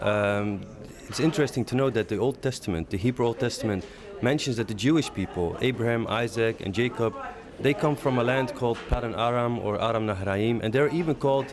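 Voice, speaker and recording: A man with a Middle Eastern accent at medium pitch, fairly quick pace and ordinary pitch variation, over noticeable background noise. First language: Aramaic. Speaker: leader of an advocacy organization. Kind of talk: interview. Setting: conference break. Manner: hesitant, many fillers.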